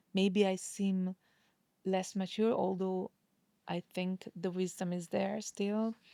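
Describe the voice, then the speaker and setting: A woman talks at a very slow pace with a non-native accent, leaving long, frequent pauses. Her intonation stays monotone and flat. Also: medium pitch for a woman, dry, close sound with no echo. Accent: non-native English, admits imperfect English. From Hungary. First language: Hungarian. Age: 40s. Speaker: singer and voice teacher. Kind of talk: interview conversation. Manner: expressive, varies tone deliberately; halting, repeats words.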